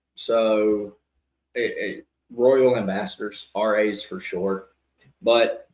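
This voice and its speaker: A man speaks with a Southern US accent. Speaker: podcast co-host, church boys' group teacher. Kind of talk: casual chat.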